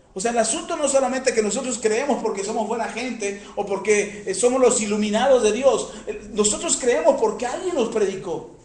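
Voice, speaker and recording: A man's pitch varies in an ordinary way as he talks in a room with audible echo and noticeable background noise. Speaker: preacher. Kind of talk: sermon. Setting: radio broadcast.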